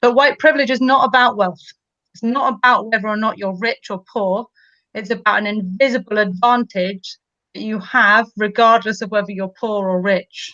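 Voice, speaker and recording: Over a quiet background, the speaker has a bright, sharp tone, ordinary pitch variation and a moderate pace. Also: woman. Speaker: teacher. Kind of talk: educational discussion.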